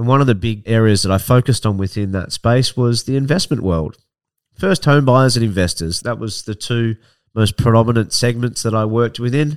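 A man with an Australian accent, medium in pitch, fairly quick, with ordinary pitch variation, in a dry, close sound with no echo and a very clean recording with a silent background. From Australia, Victoria (Barwon Heads / Ocean Grove, near Melbourne). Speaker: podcast host, property investment professional. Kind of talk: solo introductory monologue.

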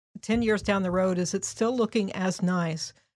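A woman with a Midwestern American accent talks at a moderate pace in a medium pitch with fairly even intonation, recorded dry and close with no echo against a silent background. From Indianapolis, Indiana. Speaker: downtown program manager. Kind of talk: interview.

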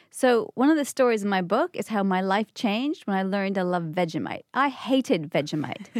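A woman talks at a fairly quick pace with hardly any pauses, in a normal speaking voice of medium pitch and lively intonation. The sound is dry and close, with no echo. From Canada. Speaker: author. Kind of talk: interview. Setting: studio.

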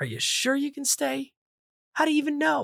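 A female-sounding voice does a gruff, put-on character voice at a high pitch and a fairly quick pace.

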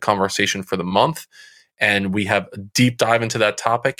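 At a fairly quick pace, a voice with a bright, sharp tone and an American accent speaks with fairly even intonation on a very clean recording with a silent background. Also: man. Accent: New Jersey accent, comes out now and again. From central New Jersey. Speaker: youth mentoring coach. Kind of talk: interview.

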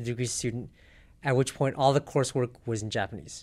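The man has an American accent and a plain, everyday voice at a medium pitch with ordinary pitch variation. It is a very clean recording with a silent background. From South Pasadena, California. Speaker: math tutor and self-defense instructor. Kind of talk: interview.

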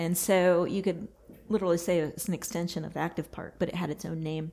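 A woman's dark, mellow voice with an American accent and fairly even intonation, on a very clean recording with a silent background. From Texas. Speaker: landscape architect. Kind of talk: interview.

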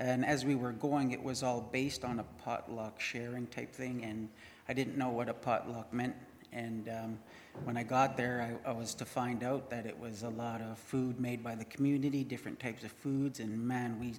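An ordinary speaking voice holds a moderate pace and fairly even intonation. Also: man. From Winnipeg, Canada. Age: 30s. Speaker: mission program graduate. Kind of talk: testimony.

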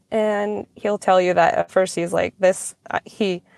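The speaker is a woman. Her recording sounds dry and close with no echo, very clean, with a silent background. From rural Alaska, Alaska Peninsula (Nelson Lagoon). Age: 30s. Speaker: person in addiction recovery. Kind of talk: testimony.

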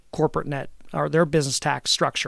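A man with an American accent, fairly high in pitch and at a fairly quick pace, on a very clean recording with a silent background. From Southern Lancaster County, Pennsylvania. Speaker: state senator. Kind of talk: interview about tax policy. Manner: measured, with frequent fillers and repetitions.

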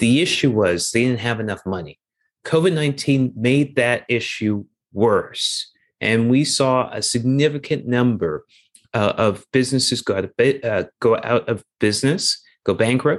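An unremarkable speaking voice in a Canadian accent, with ordinary pitch variation. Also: man, medium pitch for a man, fairly slow pace. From Canada, Toronto. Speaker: investment executive and charity co-founder. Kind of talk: interview.

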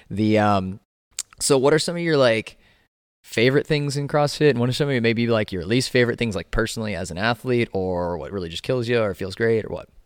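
With an ordinary speaking voice, a man at medium pitch talks at a fairly quick pace with lively intonation. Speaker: podcast host and CrossFit coach. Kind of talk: casual interview chat.

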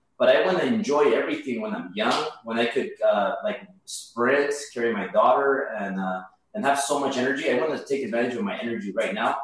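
A man speaks fairly quickly, with audible echo from the room. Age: 30s. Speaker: mortgage broker and real estate investor. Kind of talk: interview. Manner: halting, many repetitions and fillers.

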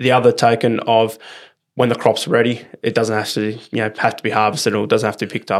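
Flat and monotone, a man with an Australian accent talks at a fairly quick pace and a medium pitch. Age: 20s. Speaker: turf farmer. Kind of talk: casual interview. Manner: halting, many fillers.

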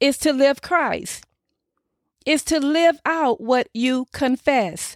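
A woman's high-pitched voice in a dry, close sound with no echo, on a very clean recording with a silent background. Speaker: pastor and podcast host. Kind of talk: sermon. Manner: earnest, preaching.

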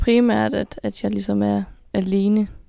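A woman speaks at a medium pitch with a dark, mellow tone on a very clean recording with a silent background. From Denmark, Kolding. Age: 20s. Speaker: student. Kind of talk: interview.

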